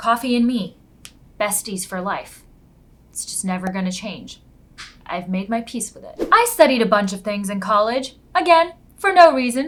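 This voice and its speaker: With an American accent, a woman speaks fairly high in pitch, somewhat breathy, at a moderate pace. Her pitch swings very widely, her loudness varies a lot, and she leaves long, frequent pauses. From Istanbul, Turkey. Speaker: creative coach and YouTuber. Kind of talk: casual vlog introduction. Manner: animated.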